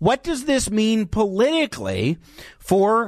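A man talks at a high pitch with ordinary pitch variation. The background is quiet. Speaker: radio host. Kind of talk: live talk radio commentary. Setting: radio studio. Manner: animated, conversational.

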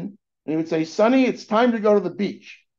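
Against a quiet background, a man talks with an American accent. His pace is moderate. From California, US. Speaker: venture capitalist. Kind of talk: interview. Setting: remote call.

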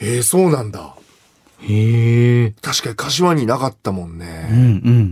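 A man talks at a fairly slow pace, his loudness swinging widely. It is a plain, everyday voice. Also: medium pitch for a man. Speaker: radio host and comedian. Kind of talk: casual chat.

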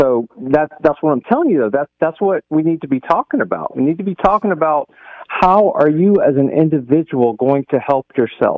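Speaking with an ordinary speaking voice, a man talks at a fairly quick pace and fairly high pitch with lively intonation. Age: 50s. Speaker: caller. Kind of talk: radio call-in.

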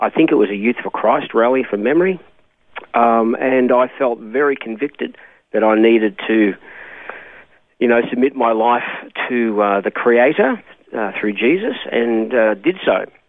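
The speaker has an Australian accent and a moderate pace. Long, frequent pauses break up the speech. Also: man, medium pitch for a man, ordinary pitch variation. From Australia, Melbourne. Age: 60s. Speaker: pastor. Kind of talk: interview. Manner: hesitant, with many ums and uhs.

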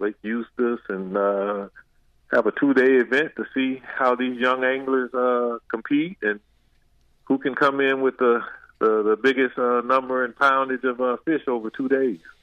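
A man with a normal speaking voice and an American accent talks at a moderate pace. His pitch is medium and his intonation fairly even. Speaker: former football player. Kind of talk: casual interview. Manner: casual, many fillers.

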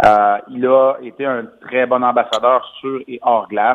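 A man talks in a plain, everyday voice. His pitch is medium, with ordinary pitch variation. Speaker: former hockey player, commentator. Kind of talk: phone interview.

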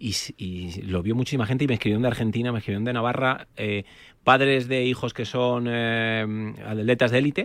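In an ordinary speaking voice, a man of medium pitch talks at a fairly quick pace with fairly even intonation. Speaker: osteopath. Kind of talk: expert advice on radio.

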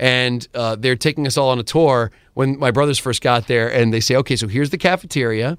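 Recorded very cleanly with a silent background, a man with an unremarkable speaking voice talks at a fairly quick pace with ordinary pitch variation. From US South, Georgia. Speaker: radio host. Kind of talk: casual interview chat.

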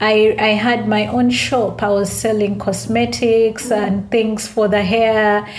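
Speaking at a very slow pace with hardly any pauses, a woman with a Ugandan accent and a fairly high pitch keeps a monotone, flat intonation over noticeable background noise. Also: very even loudness. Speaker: author and entrepreneur. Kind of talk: interview, casual chat.

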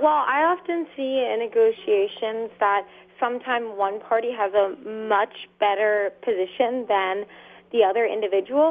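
A woman with a fairly high pitch talks at a fairly slow pace in a normal speaking voice. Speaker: caller. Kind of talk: call-in question. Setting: phone call.

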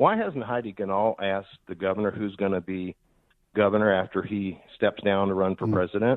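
A man with an American accent speaks at a fairly quick pace. His fairly low voice stays monotone and flat. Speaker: caller, former political campaign worker. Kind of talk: call-in radio chat. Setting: phone call.

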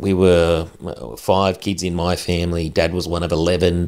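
This man speaks with an Australian accent at a fairly slow pace. His pitch is very deep and low. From Australia, central west New South Wales. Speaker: Paralympic wheelchair athlete and podcaster. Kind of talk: casual chat.

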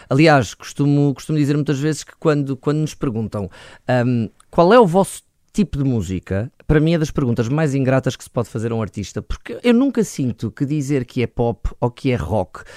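A man speaks at a moderate pace with lively intonation, a fairly high pitch and a dark, mellow tone, recorded dry and close with no echo on a very clean track with a silent background. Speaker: rock band vocalist. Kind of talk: interview.

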